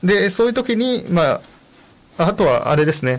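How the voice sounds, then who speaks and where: A man with very wide pitch swings. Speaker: radio host and Japanese-language support volunteer. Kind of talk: bilingual informational radio talk. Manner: many fillers, hesitant.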